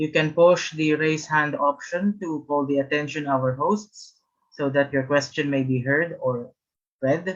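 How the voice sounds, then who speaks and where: A man with a Filipino accent, fairly slow pace and fairly even intonation. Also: fairly high pitch for a man. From Philippines. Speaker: webinar host. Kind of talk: event hosting. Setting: video call.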